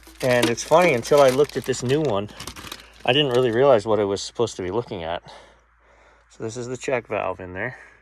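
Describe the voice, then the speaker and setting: Amid noticeable background noise, a man talks at a very fast pace with long, frequent pauses and big swings in loudness. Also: medium pitch for a man, ordinary pitch variation. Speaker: restaurant repair technician. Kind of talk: tutorial. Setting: basement.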